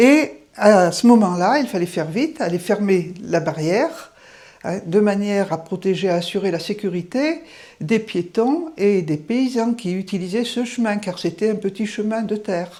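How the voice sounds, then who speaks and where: Lively intonation marks this woman's medium-pitched voice. Her tone is dark and mellow, and she speaks at a fairly slow pace. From France, Auvergne (Livradois-Forez). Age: 70s. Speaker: retired teacher. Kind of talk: house tour narration. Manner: conversational, with fillers.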